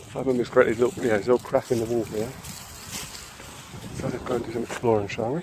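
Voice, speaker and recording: Over noticeable background noise, a man with medium pitch and fairly even intonation talks at a very fast pace broken by long, frequent pauses. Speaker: vlogger. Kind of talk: casual vlog walk-and-talk. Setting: outdoors at an airfield. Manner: halting, filler-heavy. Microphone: phone recording.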